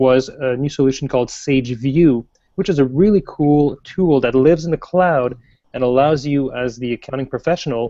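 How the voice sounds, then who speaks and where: A man with a French Canadian accent speaks at a moderate pace in a medium pitch, his dark, mellow tone carrying ordinary pitch variation. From French Canada. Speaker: software product manager. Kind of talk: interview.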